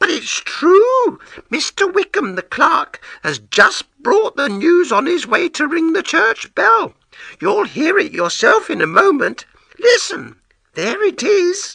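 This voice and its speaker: Putting on a squeaky character voice, a man speaks at an extremely high pitch and a fairly slow pace. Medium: read story. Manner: excited, anxious.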